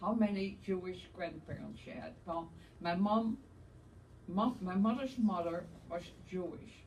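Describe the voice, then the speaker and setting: A woman speaks at a fairly slow pace with long, frequent pauses. Her pitch is medium with ordinary variation, and room echo is audible. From Netherlands, Amsterdam. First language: Dutch. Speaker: Holocaust survivor. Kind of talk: testimony.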